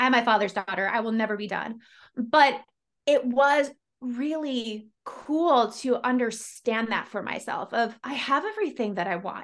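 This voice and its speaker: A woman with an ordinary speaking voice talks at a moderate pace, her pitch fairly high with ordinary variation. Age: 40s. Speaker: podcast host and life coach. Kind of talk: casual interview.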